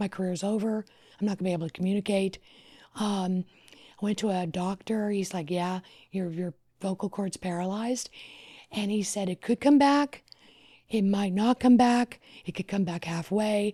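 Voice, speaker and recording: With a dark, mellow tone and a somewhat breathy quality, the speaker keeps a moderate pace broken by long, frequent pauses, using ordinary pitch variation in a dry, close sound with no echo. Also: woman, medium pitch for a woman. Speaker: wedding planner. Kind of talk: casual chat.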